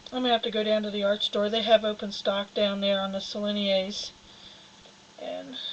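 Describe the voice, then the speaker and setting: Against noticeable background noise, a woman speaks at a moderate pace and medium pitch with monotone, flat intonation. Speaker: fiber artist. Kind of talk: live-stream tutorial. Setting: studio. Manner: loud.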